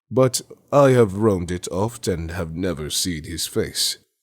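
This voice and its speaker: A man's put-on character voice at a very deep, low pitch and a moderate pace. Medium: read story. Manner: archaic, sly.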